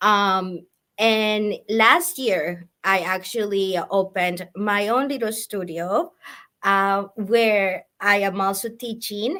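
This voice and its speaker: A woman speaks at a very slow pace in a bright, sharp tone. The recording is very clean, with a silent background. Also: medium pitch for a woman, ordinary pitch variation. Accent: Spanish. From Colombia. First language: Spanish. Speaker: sewing and quilting teacher. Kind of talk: casual interview. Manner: halting.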